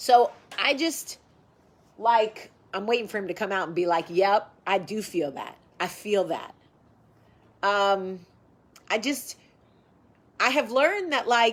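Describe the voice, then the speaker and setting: Speaking at a medium pitch with an American accent, a woman sounds animated, with lively intonation, a fairly slow pace and long, frequent pauses, in a very clean recording with a silent background. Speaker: vlogger. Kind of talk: casual chat. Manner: loud.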